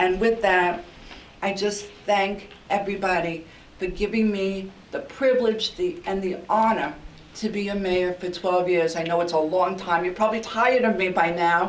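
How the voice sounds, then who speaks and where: Amid noticeable background noise and audible room echo, a woman with a New York accent speaks at medium pitch and a moderate pace with fairly even intonation. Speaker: outgoing mayor. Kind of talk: farewell speech at council meeting. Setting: council meeting chamber. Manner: halting with fillers.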